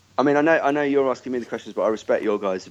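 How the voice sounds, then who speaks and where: A man speaks with a Birmingham accent and ordinary pitch variation. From Birmingham, England. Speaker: festival organiser. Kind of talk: interview.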